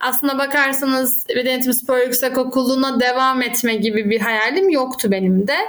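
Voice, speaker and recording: The speech goes at a moderate pace with very even loudness and fairly even intonation. Noticeable background noise can be heard. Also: woman, high pitch for a woman. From Turkey, Izmir. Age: 30s. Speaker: academic and handball coach. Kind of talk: interview conversation.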